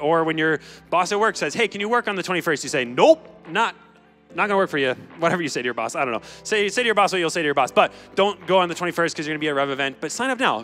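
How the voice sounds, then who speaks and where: The speech moves at a very fast pace. Faint music plays in the background. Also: man. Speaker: student pastor. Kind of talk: announcements and sermon-style address. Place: stage. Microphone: handheld.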